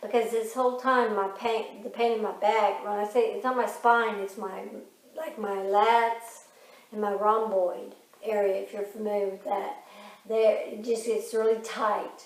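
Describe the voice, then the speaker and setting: Speaking at a fairly slow pace in a fairly high pitch, a woman keeps a monotone, flat intonation, with audible room echo. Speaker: vlogger with Parkinson's. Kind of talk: casual chat.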